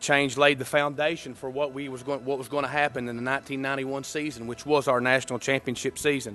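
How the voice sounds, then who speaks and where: Talking at a very fast pace, a man with a Kentucky accent and a fairly high pitch keeps a monotone, flat intonation. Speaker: former college quarterback. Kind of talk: induction speech.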